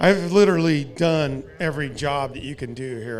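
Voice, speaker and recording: A man with a fairly high pitch speaks with audible room echo. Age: 60s. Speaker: race car driver and team owner. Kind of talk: interview.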